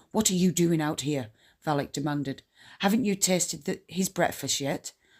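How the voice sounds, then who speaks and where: Someone puts on a raspy character voice at a middle pitch and moderate pace, recorded very cleanly against a silent background. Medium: read story. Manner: terse, commanding.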